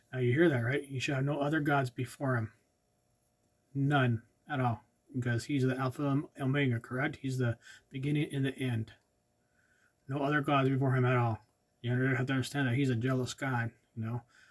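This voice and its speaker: A man at medium pitch speaks with monotone, flat intonation. His pace is fairly quick, yet he leaves long, frequent pauses. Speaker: ordained lay preacher, channel host. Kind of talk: Bible teaching with scripture reading. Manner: soft-spoken, not loud; halting, with fillers.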